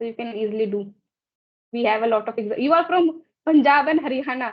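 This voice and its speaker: This woman's voice sits high in pitch. She talks at a fairly quick pace. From northern India, Braj-speaking region. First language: Braj/Hindi. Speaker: English learner, channel host. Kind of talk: casual conversation practice.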